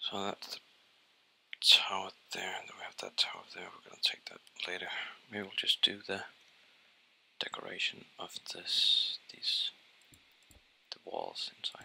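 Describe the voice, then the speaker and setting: Whispering over noticeable background noise, a man speaks at a fairly slow pace with long, frequent pauses and big swings in loudness. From Denmark. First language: Danish. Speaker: gaming YouTuber. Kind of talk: let's play commentary.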